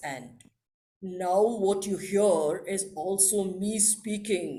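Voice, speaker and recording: Using a put-on character voice, a woman speaks very slowly in a rumbling, medium-pitched tone. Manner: authoritative.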